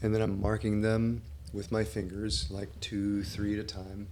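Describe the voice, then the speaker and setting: A man's fairly low-pitched voice at a fairly slow pace, with fairly even intonation and audible room echo. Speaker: acupuncturist. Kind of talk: tutorial. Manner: halting; casual.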